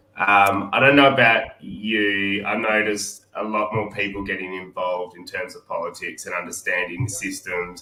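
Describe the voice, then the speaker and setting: With an Australian accent, a man talks at a moderate pace and a fairly low pitch, with hardly any pauses, fairly even intonation and big swings in loudness over noticeable background noise. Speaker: podcast co-host. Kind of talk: interview.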